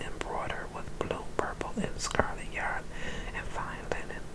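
Someone whispers in a soft-spoken way against loud background noise. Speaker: scripture reader. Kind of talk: reading aloud from the Bible. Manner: soft ASMR whisper reading scripture. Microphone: phone near.

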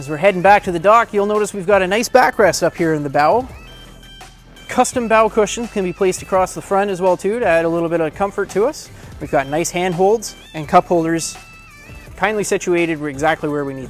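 A man talks at a fairly quick pace in a high pitch with ordinary pitch variation and big swings in loudness. Faint music sits in the background, and the sound is dry with no echo. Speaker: boat sales specialist. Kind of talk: product walkthrough presentation. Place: shop.

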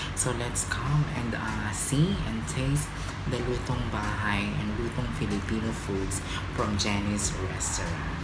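A man at a very slow pace, with music in the background. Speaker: vlogger promoting a restaurant. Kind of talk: casual vlog chat. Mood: upbeat promotional. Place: home room. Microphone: phone near.

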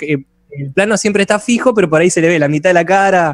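The man talks very fast, his pitch varying in an ordinary way. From Argentina, south of Buenos Aires province. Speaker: musician and video editor. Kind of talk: casual interview chat.

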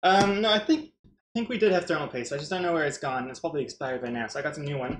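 Audible room echo surrounds a man speaking at a very fast pace with a high pitch. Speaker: livestreamer. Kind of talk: casual stream chat. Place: home room.

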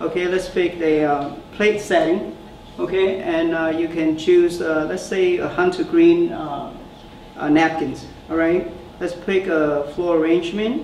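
A man speaks very slowly in a high voice with fairly even intonation. There is audible room echo and light background noise. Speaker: startup founder; presenter. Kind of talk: product demo and Q&A. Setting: stage with audience. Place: meeting room.

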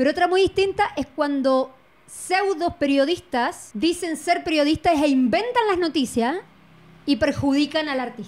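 A woman speaks at a fairly slow pace in a high voice, her intonation lively. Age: 40s. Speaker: artist guest; guest. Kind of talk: casual chat. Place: studio. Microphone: handheld.

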